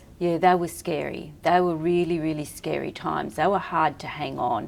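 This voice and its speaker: Fairly even intonation and a moderate pace from a woman with a very deep, low pitch. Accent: Australian. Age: 60s. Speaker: entrepreneur and personal stylist. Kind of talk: podcast interview.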